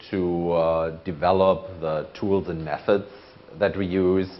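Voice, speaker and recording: A man's very deep, low voice with a slight German accent, fairly even intonation and audible room echo. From Germany. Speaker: conference speaker, procurement manager. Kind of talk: conference talk.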